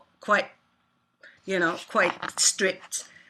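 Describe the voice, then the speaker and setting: A woman talks at a moderate pace in a bright, sharp tone. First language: not English. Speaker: composer and artist. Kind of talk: interview. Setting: online talk. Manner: halting.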